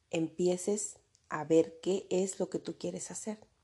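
The voice has a dark, mellow tone and a monotone, flat intonation, moving at a very slow pace over a quiet background. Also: woman. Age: 40s. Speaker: podcast host, mentor for women and mothers. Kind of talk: motivational monologue.

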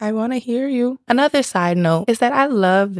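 A woman speaks at a moderate pace with an animated tone and lively intonation. The sound is dry and close, with no echo. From US South, Miami, South Florida. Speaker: podcast host. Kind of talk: casual solo podcast talk.

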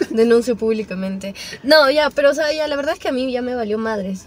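Her pitch is high, and the woman talks at a moderate pace with ordinary pitch variation. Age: young. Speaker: podcast guest. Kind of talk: casual chat.

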